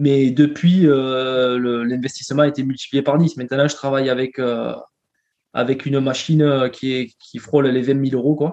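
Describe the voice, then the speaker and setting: A man's medium-pitched voice, flat and monotone, at a moderate pace. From southern France, near Carcassonne. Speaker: entrepreneur. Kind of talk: interview. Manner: halting, frequent repetitions.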